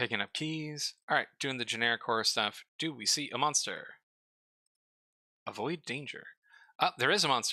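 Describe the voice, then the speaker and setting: Mumbling at a moderate pace with long, frequent pauses, a man speaks at a fairly high pitch with a bright, sharp tone and ordinary pitch variation, recorded with a dry, close sound and no echo. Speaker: streamer reviewing game store pages. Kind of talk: casual live stream commentary.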